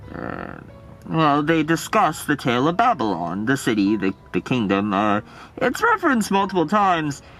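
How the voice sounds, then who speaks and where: A man uses a cartoonish character voice, fairly high in pitch with very wide pitch swings. He keeps a moderate pace over clear background music. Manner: hesitant, halting, filler-laden.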